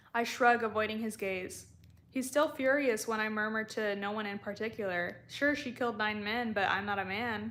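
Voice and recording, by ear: A natural voice reading aloud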